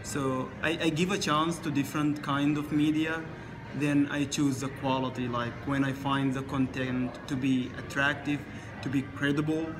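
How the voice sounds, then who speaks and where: A man's fairly high voice in a flat monotone at a moderate pace, with music in the background and audible room echo. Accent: Arabic. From Sudan. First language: Arabic. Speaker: international student. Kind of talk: interview. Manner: halting.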